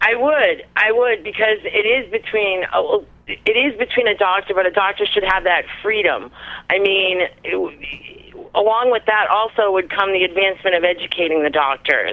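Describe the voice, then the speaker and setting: An ordinary speaking voice from a woman, medium-pitched, with ordinary pitch variation at a moderate pace. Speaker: caller. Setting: phone call.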